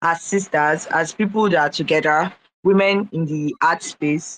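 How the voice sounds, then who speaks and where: This woman speaks with a Nigerian accent at a fairly low pitch. Her intonation is fairly even, and her pace is moderate. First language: Igbo. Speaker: artist. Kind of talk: casual live audio room chat.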